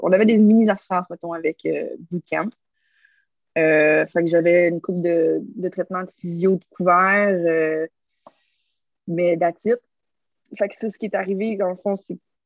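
Speaking slowly with long, frequent pauses, a woman uses a fairly low pitch and fairly even intonation in a Quebec accent. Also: big swings in loudness. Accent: Québécois French. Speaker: stuntwoman and obstacle course racer. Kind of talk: casual interview.

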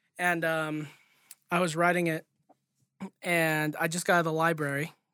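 On a very clean recording with a silent background, a man with an American accent speaks in a fairly high pitch with a bright, sharp tone. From California, East Bay. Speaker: podcast co-host. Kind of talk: casual chat.

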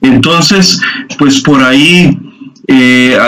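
Speaking fairly slowly in a fairly high voice, a man is heard with audible room echo and noticeable noise in the background. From Costa Rica, Guanacaste (Liberia). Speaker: church youth leader. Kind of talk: testimony.

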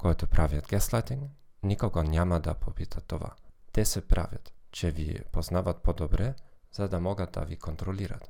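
A dark, mellow tone carries lively intonation at a fairly slow pace, recorded very cleanly against a silent background. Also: man. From Germany. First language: German (speaking Bulgarian). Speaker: psychologist. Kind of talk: monologue podcast.

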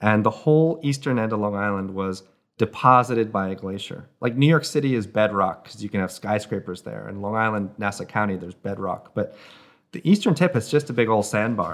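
A man with an American accent, fairly low in pitch, at a fairly quick pace, with ordinary pitch variation and big swings in loudness, an unremarkable speaking voice, on a very clean recording with a silent background. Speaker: author and canoe maker. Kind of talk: casual interview, storytelling.

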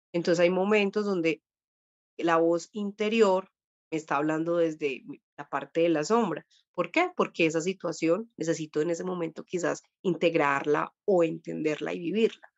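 Speaking at a moderate pace, a woman has a fairly low pitch and an unremarkable speaking voice. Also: fairly even intonation. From Colombia. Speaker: dream therapist. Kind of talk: interview, explaining spiritual practice.

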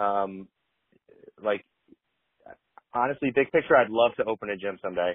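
A man speaks at a fairly low pitch and moderate pace with ordinary pitch variation. He takes long, frequent pauses. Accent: Michigan. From Metro Detroit, Michigan. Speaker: fitness apparel founder, former football player. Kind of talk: interview. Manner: halting, many fillers.

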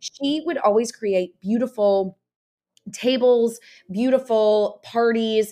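In a Southern US accent, a woman speaks very slowly in a fairly high pitch, with a dark, mellow tone and ordinary pitch variation. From US South, Nashville, Tennessee. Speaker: entertaining and lifestyle entrepreneur. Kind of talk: casual interview chat.

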